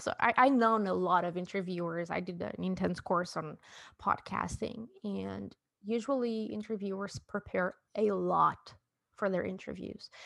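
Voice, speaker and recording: Against a quiet background, a woman speaks in a Portuguese accent. Her pitch is medium and her pace moderate. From southern Portugal. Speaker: podcast host and illustrator. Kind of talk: interview, casual chat.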